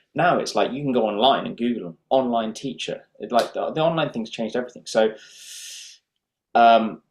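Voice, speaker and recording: This is a plain, everyday voice with ordinary pitch variation. Its loudness swings widely. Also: man, medium pitch for a man, fairly quick pace. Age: 30s. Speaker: professional guitarist and teacher. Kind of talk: interview.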